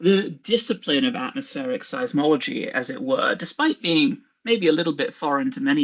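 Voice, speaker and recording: Pitched extremely high, a man speaks with a British accent at a moderate pace. His pitch swings very widely. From England, Birmingham. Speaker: geophysicist. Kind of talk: lecture.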